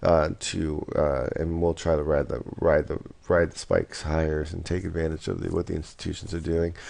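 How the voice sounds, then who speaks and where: A man's very deep, low voice with a dark, mellow tone, against a quiet background. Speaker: forex market commentator. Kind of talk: market analysis video. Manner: halting, many fillers.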